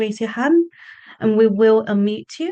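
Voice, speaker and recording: A moderate pace with a British accent against a quiet background. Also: woman. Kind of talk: event housekeeping announcements. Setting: Zoom webinar.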